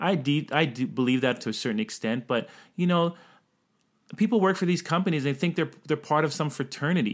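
Delivered at a fairly quick pace with lively intonation and very even loudness, this is an ordinary speaking voice on a very clean recording with a silent background. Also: man, fairly high pitch for a man. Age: young. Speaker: podcast co-host. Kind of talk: casual chat.

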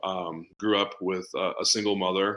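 This man's voice is very deep and low yet bright and sharp in tone, delivered in a monotone, flat intonation. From New England, Boston. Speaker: business coach. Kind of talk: podcast interview. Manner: fast talker.

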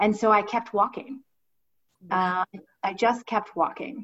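Moderate pace and ordinary pitch variation in a woman's medium-pitched voice. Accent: American. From Ohio, US Midwest. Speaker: finance professional, former musical theater performer. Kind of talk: casual interview.

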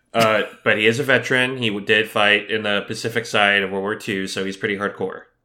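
A fairly low-pitched man's voice, bright and sharp in tone, very fast and monotone with flat intonation. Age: 40s. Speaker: podcast co-host. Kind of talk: casual chat. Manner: quiet.

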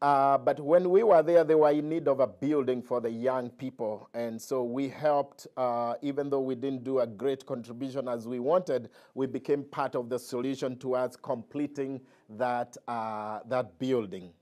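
A man speaks at a medium pitch with a dark, mellow tone. His pace is moderate and his pitch varies in an ordinary way, on a very clean recording with a silent background. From Kenya. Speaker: pastor. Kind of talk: mission trip report. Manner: halting.

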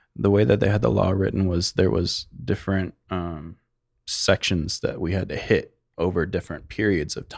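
A man's very deep, low voice with vocal fry and an American accent, at a moderate pace with ordinary pitch variation, in a very clean recording with a silent background. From Arizona, Phoenix area. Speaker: hash maker, cannabis business owner. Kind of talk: casual interview. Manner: soft-spoken.

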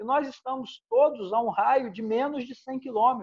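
An extremely high male voice, fairly even in intonation and moderate in pace. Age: 50s. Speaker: former footballer and local business leader. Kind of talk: casual interview chat.

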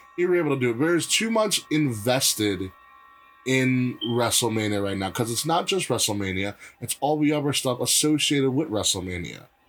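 A man speaks at a fairly quick pace with lively intonation and an animated tone. Noticeable background noise sits behind him. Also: medium pitch for a man. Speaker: wrestling podcast host. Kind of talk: casual chat.

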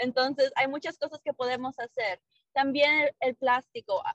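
A woman's high-pitched voice at a moderate pace. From Mexico, Monclova, Coahuila; moved to US at 7-8. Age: 30s. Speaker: small business owner. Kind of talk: podcast interview.

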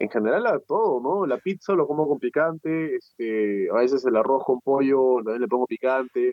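With an unremarkable speaking voice, a man talks at a moderate pace and fairly high pitch, his intonation lively and his speech nearly free of pauses. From Peru. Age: 20s. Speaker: entrepreneur and coach. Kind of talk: interview.

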